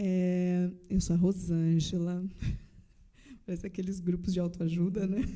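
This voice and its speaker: In a Paraná accent, a woman speaks fairly slowly at a medium pitch with a dark, mellow tone, monotone, flat intonation and long, frequent pauses. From Paraná, Brazil. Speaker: church member sharing testimony. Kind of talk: casual chat.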